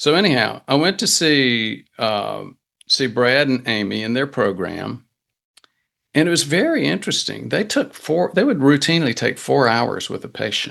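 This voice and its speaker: A man with a medium pitch talks at a moderate pace, his intonation lively and touched with vocal fry. The background stays quiet. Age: 60s. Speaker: physician. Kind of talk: interview. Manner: halting.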